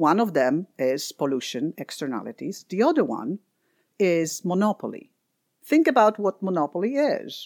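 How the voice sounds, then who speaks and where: A woman with a Polish accent at medium pitch, very wide pitch swings and a moderate pace, in a very clean recording with a silent background and a dry, close sound with no echo. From Poland. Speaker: environmental economist, nonprofit head. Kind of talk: interview.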